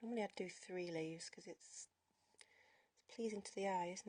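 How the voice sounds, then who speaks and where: The voice sounds somewhat breathy. It belongs to a woman. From northern England, York. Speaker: henna artist livestreaming. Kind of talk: casual livestream chat while drawing.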